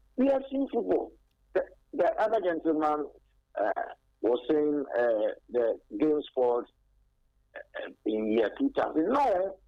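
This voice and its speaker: With a Ghanaian accent, a man speaks at a very slow pace with long, frequent pauses. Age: 60s. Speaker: caller, football fan. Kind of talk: radio call-in.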